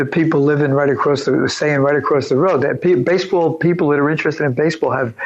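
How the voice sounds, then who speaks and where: A man at a very fast pace with fairly even intonation, amid noticeable background noise. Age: 70s. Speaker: retired businessman and author. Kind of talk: podcast interview. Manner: halting.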